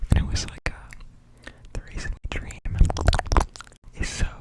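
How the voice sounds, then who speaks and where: Whispering at a very slow pace amid noticeable background noise. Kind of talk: ASMR whisper ramble. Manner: whispered; casual, rambling.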